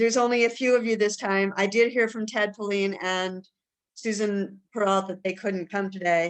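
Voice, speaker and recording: Using a plain, everyday voice, a woman speaks at a moderate pace with fairly even intonation. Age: 60s. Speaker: meeting organizer. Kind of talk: video meeting discussion.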